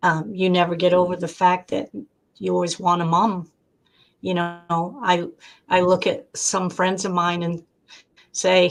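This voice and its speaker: Here is a normal speaking voice. Its intonation stays fairly even. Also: woman. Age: 60s. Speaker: debut author. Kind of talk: interview. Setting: live stream.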